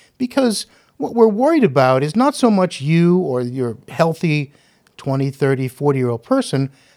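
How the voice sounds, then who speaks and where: A man speaks at a moderate pace in a fairly high voice, his pitch swinging very widely. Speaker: gastroenterologist doctor. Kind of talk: medical explanation in panel discussion.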